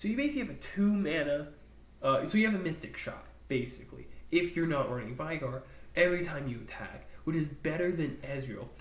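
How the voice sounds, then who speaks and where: Audible room echo follows the voice as it moves at a fairly quick pace. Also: man, fairly high pitch for a man, ordinary pitch variation. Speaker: gaming YouTuber. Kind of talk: casual commentary video. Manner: animated.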